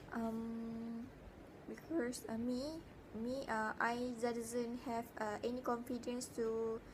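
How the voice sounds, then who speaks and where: Noticeable background noise and audible room echo surround the recording. A woman with a fairly high pitch talks at a very slow pace. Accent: Malaysian. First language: Malay. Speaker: university student. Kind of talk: spoken self-reflection assignment. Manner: halting, many fillers.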